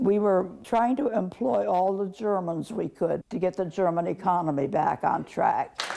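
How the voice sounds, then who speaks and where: A woman talks at a moderate pace with hardly any pauses and lively intonation. Her pitch is medium, and there is noticeable background noise. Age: 80s+. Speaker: army nurse veteran. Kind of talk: interview answer.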